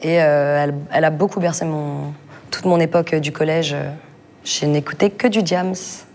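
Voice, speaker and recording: A woman's very deep, low voice broken by long, frequent pauses, with noticeable background noise. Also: moderate pace. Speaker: rapper and singer. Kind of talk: casual interview. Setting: backstage dressing room.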